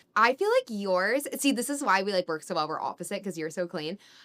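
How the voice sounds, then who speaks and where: A woman with a strong Californian accent speaks at a medium pitch in a bright, sharp tone, recorded dry and close with no echo. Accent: California accent, strong. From Northern California. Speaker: podcast co-host. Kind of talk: casual chat. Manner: casual, filler-heavy.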